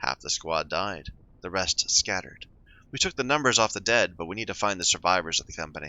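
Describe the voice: Lively intonation over plain reading aloud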